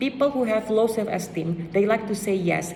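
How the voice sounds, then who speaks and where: Clearly audible background noise sits under speech delivered at a moderate pace. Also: woman. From Indonesia. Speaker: student speaker.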